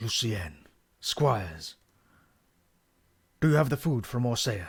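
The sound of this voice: At a medium pitch and a fairly slow pace, a man performs a put-on character voice in a very clean recording with a silent background.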